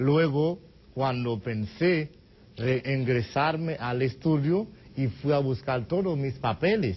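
In a Haitian accent, a man talks at a very slow pace, his voice somewhat breathy and his intonation lively. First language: Haitian Creole (speaking Spanish). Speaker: immigrant association treasurer; guest. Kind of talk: TV interview. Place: studio. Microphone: lapel.

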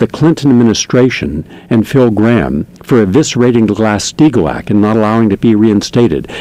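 A man with a dark, mellow tone and lively intonation at a fairly quick pace, dry with no echo. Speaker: radio show host. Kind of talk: commentary monologue read from notes. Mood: earnest, critical. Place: studio. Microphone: studio mic.

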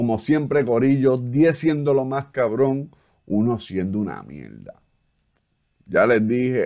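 A man speaks rather slowly, his pitch varying in an ordinary way, with a quiet background behind him. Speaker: streamer reacting to a music video. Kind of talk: casual live-stream commentary. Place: home room. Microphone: studio mic.

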